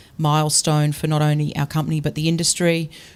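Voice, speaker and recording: On a very clean recording with a silent background, a woman with a very deep, low pitch speaks at a fairly quick pace in a monotone, flat intonation. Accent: Australian. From Australia (Brisbane, Queensland). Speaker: tech company founder. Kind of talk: panel discussion.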